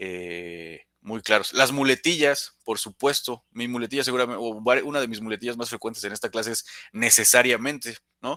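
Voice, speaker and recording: A man with a bright, sharp tone and medium pitch speaks with ordinary pitch variation and big swings in loudness, in a dry, close sound with no echo. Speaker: soft skills instructor. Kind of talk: live online class. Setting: live stream. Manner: fast; stumbles over words, repeats.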